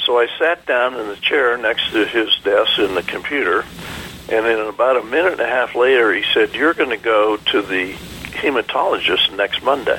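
Noticeable background noise surrounds a man who speaks with hardly any pauses. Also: moderate pace. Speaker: Vietnam veteran pilot. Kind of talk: radio interview. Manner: halting.

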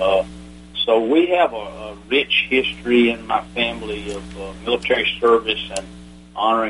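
A man with an American accent talks at a fairly quick pace. Noticeable background noise can be heard. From US South, Atlanta. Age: 70s. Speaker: retired army general, veteran. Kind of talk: interview, recounting war stories.

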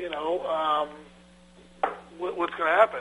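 A man talks over noticeable background noise. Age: 50s. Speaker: land surveyor and firm owner. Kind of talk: radio interview.

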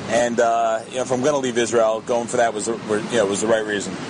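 Against noticeable background noise, a man with a medium pitch talks at a very fast pace. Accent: American. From US Northeast, New Jersey / New York area. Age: 30s. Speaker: Israel-based commentator with law degree. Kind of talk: radio interview.

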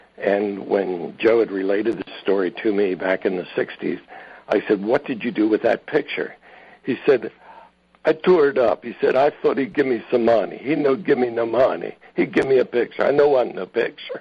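A man with an unremarkable speaking voice talks at medium pitch. His intonation is lively and his pace moderate. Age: 60s. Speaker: Packard truck collector. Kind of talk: interview chat. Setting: phone call.

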